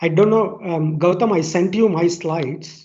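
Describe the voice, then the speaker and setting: A man at a fairly slow pace, ordinary pitch variation, audible room echo around him. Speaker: scientist. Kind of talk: webinar talk. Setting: video call.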